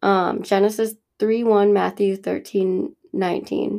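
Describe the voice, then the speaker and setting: A woman's medium-pitched, dark, mellow voice with fairly even intonation in a very clean recording with a silent background. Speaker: Bible study teacher. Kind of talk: reading aloud a Bible study.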